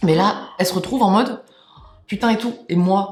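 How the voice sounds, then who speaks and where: A woman's animated tone at medium pitch, with ordinary pitch variation and music in the background. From France. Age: 20s. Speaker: YouTuber. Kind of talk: casual storytelling.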